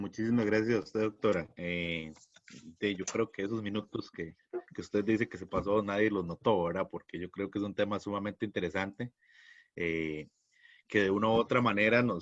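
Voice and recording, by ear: At a moderate pace, a man speaks with a fairly low pitch. His pitch variation is ordinary.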